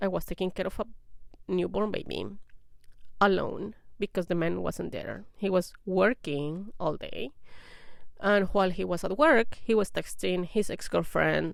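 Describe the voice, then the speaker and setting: Long, frequent pauses break up this speech in a non-native accent. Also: woman. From outside English-speaking countries, moved abroad. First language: not English. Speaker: vlogger sharing personal experience. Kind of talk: personal testimony to camera. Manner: casual with hesitations.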